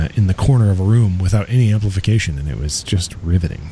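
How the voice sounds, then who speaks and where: The speech runs at a fairly quick pace with lively intonation over noticeable background noise. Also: man. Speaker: radio host. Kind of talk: radio DJ patter, introducing a song between tracks. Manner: casual, chatty, relaxed.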